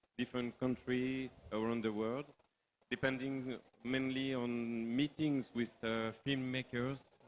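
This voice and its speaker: With a French accent, a man of medium pitch speaks at a fairly slow pace in a monotone, flat intonation. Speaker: film producer. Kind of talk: panel discussion. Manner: halting.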